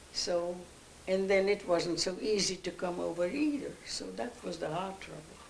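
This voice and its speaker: Medium-pitched speech from a woman at a moderate pace, with ordinary pitch variation, big swings in loudness, and noticeable background noise. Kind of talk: interview answer.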